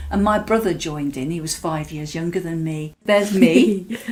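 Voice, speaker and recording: With an English Midlands accent, a woman speaks at a moderate pace and a fairly low pitch with ordinary pitch variation. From English Midlands, Mansfield. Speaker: artist from Latvian community. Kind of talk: interview, personal recollection. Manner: hesitant, many fillers.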